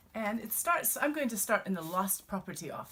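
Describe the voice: The voice does plain reading aloud. Its intonation moves in a lively way.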